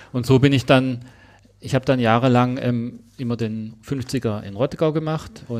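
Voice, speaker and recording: A man with a Swabian accent speaks at a fairly slow pace. His pitch is medium and his intonation fairly even. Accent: Swabian, noticeable. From Swabia, southwest Germany. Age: 40s. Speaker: ultramarathon runner. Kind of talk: casual interview.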